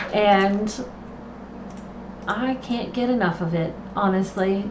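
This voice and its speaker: With noticeable background noise and audible room echo, a woman speaks very slowly at a medium pitch with ordinary pitch variation. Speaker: planner content creator. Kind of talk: live stream tutorial. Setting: home live stream, camera off. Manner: casual, chatty.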